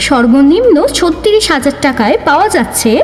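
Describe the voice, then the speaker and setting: Noticeable background noise sits behind a woman whose high voice makes very wide pitch swings. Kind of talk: loudspeaker promotional ad read.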